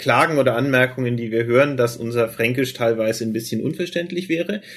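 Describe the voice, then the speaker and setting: A man at a medium pitch, fairly quick in pace, with ordinary pitch variation. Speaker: podcast co-host. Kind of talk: casual chat.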